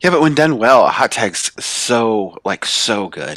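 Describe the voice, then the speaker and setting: A man speaks in a normal speaking voice at medium pitch with lively intonation. The sound is dry and close, with no echo. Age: 30s. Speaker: wrestling fan, host's coworker. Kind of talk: casual chat.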